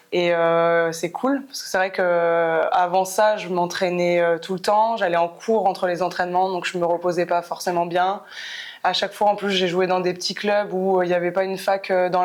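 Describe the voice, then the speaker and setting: At a moderate pace, a woman with a medium pitch speaks in a monotone, flat way. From France, Clermont-Ferrand. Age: 30s. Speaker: professional basketball player. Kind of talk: podcast interview. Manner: hesitant, many fillers.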